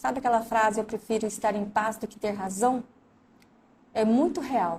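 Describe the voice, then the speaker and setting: A woman speaks at a moderate pace. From Brazil, Mato Grosso do Sul. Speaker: recruiter and career coach. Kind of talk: live stream talk.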